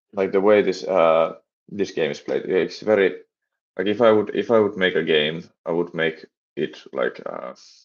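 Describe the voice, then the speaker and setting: At a moderate pace, a man speaks with a Finnish accent. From Finland. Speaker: game developer and streamer. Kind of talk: live stream chat while coding. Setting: live stream. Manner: halting, many repetitions and fillers.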